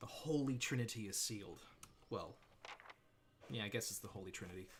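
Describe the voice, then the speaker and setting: Somewhat breathy male speech with an American accent, medium pitch, ordinary pitch variation and a fairly quick pace, plus audible room echo. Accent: mild Australian, half American. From Australia. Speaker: gaming streamer. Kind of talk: casual livestream commentary.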